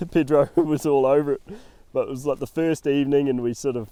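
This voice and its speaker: In a New Zealand accent, a man talks very fast with a dark, mellow tone, a fairly high pitch and fairly even intonation. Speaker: hunting guide and podcast host. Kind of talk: casual chat.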